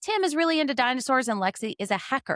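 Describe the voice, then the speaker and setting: A high-pitched woman with a Southern US accent speaks at a fairly quick pace in an animated tone. The sound is dry and close with no echo, and the recording is very clean with a silent background. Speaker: podcast host. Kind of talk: casual chat; movie synopsis narration.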